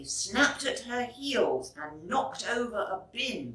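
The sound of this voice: A woman's fairly high, bright, sharp voice with big pitch swings, a slow pace and audible room echo.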